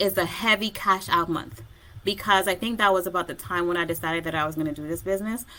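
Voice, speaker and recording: A woman's fairly low voice, bright and sharp in tone, at a fairly quick pace. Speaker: online business coach and vlogger. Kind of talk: solo video tutorial. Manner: fast.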